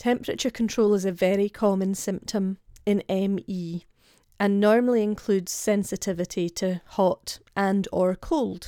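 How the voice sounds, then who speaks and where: Her medium-pitched voice has a dark, mellow tone as this woman speaks at a moderate pace with fairly even intonation, captured dry and close with no echo on a very clean recording with a silent background. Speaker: podcast host, health coach. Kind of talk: solo podcast talk.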